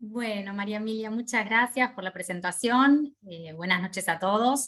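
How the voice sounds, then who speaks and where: A woman speaks at a moderate pace with a fairly high pitch and ordinary pitch variation. Her voice is somewhat breathy, and the background is quiet. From Argentina. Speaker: hospital radiopharmacist, lecturer. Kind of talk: online lecture. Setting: video call. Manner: informal, conversational.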